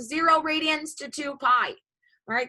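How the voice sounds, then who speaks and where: A woman's high-pitched, bright, sharp voice, raised and projected, at a moderate pace with ordinary pitch variation. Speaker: high school math teacher. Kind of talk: lecture. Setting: video call.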